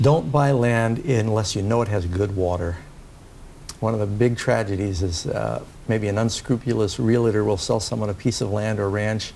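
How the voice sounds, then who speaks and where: A man with an American accent talks at a moderate pace and fairly low pitch with ordinary pitch variation, with audible room echo. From New York City. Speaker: pastor. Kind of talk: interview.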